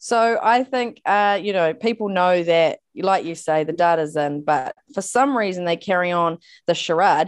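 Over a quiet background, a woman with a New Zealand accent speaks at a medium pitch and a fairly slow pace, with ordinary pitch variation and hardly any pauses. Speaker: podcast co-host. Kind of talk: interview.

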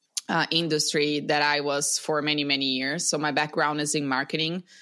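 A woman speaks in a Portuguese accent with a bright, sharp tone. Her pace is moderate. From Brazil. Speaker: breathwork coach. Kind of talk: casual interview. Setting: video call.

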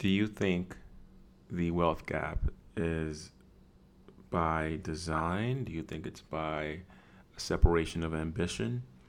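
The speech moves at a very slow pace with long, frequent pauses. Pitch varies in an ordinary way. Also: man, very deep, low pitch for a man. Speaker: podcast host. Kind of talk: casual chat.

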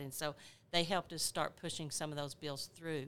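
A woman speaks in a bright, sharp tone. Her pitch is very deep and low. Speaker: nursing professor. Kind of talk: panel discussion.

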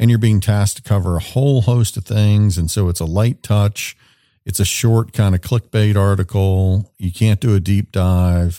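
Dry and close with no echo, this very clean recording over a silent background has a man speaking at a moderate pace in a fairly low pitch and a dark, mellow tone. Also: fairly even intonation. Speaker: podcast host and businessman. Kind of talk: casual interview conversation.

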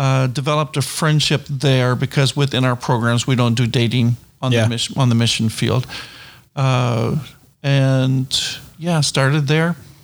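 A man with an ordinary speaking voice at a medium pitch, moderate pace, fairly even intonation and very even loudness, in a very clean recording with a silent background. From New Brunswick, Canada. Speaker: missionary and Bible college instructor. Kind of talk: interview.

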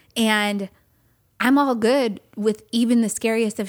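A woman's unremarkable speaking voice with an American accent, fairly high in pitch and fairly even in intonation, on a very clean recording with a silent background. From California. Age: 40s. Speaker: podcast co-host. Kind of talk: casual chat. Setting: home studio. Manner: laughs often.

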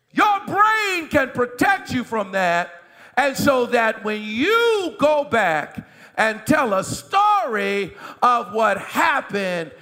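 A man's raised, projected voice, animated in tone with very wide pitch swings, over noticeable background noise. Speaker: pastor. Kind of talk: sermon. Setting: church.

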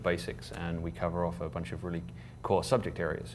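In an English accent, a man speaks at a very deep, low pitch with vocal fry, and the room echo is audible. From England. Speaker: board chair of a professional association. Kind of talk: casual interview. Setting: conference venue.

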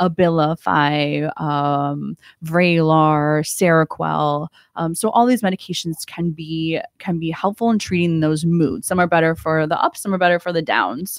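The voice moves at a fairly slow pace with ordinary pitch variation, in a dry, close sound with no echo. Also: woman, fairly low pitch for a woman. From Ohio. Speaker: psychiatrist. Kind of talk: radio interview. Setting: radio studio. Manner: hesitant, many ums.

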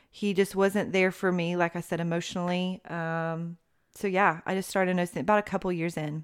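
On a very clean recording with a silent background, a woman with an East Tennessee accent speaks at a fairly quick pace with a fairly low pitch and monotone, flat intonation. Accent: East Tennessee Southern American. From US South, Knoxville, Tennessee. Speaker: mother sharing her marriage story. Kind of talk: interview testimony.

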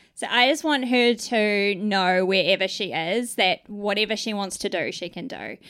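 With a New Zealand accent, a woman speaks at a moderate pace with hardly any pauses, a medium pitch and ordinary pitch variation, in a very clean recording with a silent background. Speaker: Salvation Army officer. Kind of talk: casual interview. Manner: halting.

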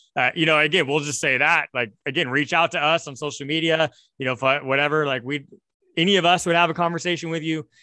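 A man with a fairly high voice speaks at a very fast pace with fairly even intonation. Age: young. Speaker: podcast host and pastor. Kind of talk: casual interview.

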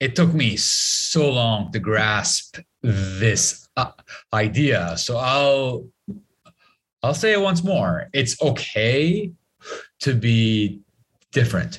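A man speaks at a very slow pace and a medium pitch, with very wide pitch swings and long, frequent pauses. His voice is somewhat breathy and very even in loudness. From Lebanon. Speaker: motivational speaker and comedian. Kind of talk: interview. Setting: video call. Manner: halting.

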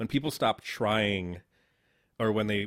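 A normal speaking voice from a man, fairly low, with an American accent and a moderate pace. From Southern Connecticut, New Haven. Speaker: podcast host, filmmaker. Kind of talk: casual interview.

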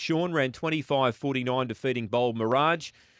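A man speaks with an Australian accent at a fairly quick pace. His pitch is medium, with ordinary variation. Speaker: radio host. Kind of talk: casual chat. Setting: studio.

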